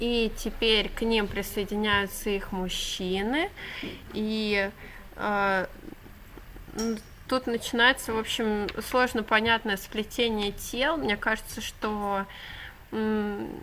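A woman speaks at a very slow pace with long, frequent pauses and a bright, sharp tone. Her intonation stays fairly even over light background noise. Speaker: book reviewer. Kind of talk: casual vlog retelling and commentary. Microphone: webcam.

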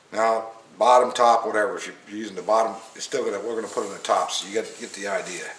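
A man's voice with audible room echo. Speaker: hobbyist instructor. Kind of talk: tutorial. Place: workshop. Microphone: camera far.

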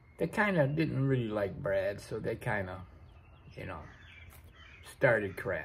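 This man speaks fairly slowly, with long and frequent pauses. Light background noise sits under his voice. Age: 40s. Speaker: vlogger. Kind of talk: casual monologue. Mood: relaxed storytelling. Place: workshop. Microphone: phone near.

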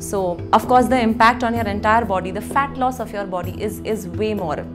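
Clear music plays in the background while a woman speaks at a moderate pace. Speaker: yoga instructor. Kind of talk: tutorial. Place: home room. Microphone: lapel.

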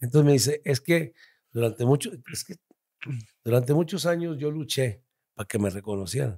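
A man's somewhat breathy voice at a fairly quick pace, with very wide pitch swings. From Torreón, Coahuila, northern Mexico. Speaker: comedian. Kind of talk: casual chat.

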